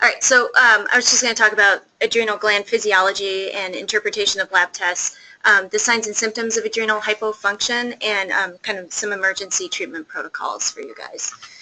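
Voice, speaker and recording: A woman's voice, fairly high in pitch, runs at a fairly quick pace with fairly even intonation. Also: hardly any pauses. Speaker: pediatric endocrinologist. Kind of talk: lecture. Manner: fast; soft-spoken.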